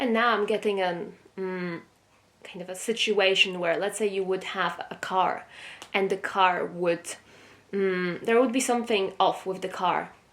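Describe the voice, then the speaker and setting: A woman speaks at a fairly slow pace, with medium pitch and fairly even intonation. Noticeable background noise runs under her voice. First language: not English. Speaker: tarot reader. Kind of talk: tarot reading. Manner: hesitant, with fillers.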